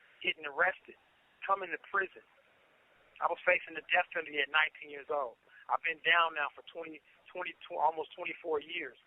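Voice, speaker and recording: A man speaks at a high pitch with fairly even intonation. His loudness swings widely, and he pauses long and often. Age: 30s. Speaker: prison inmate. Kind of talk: personal life story told to camera.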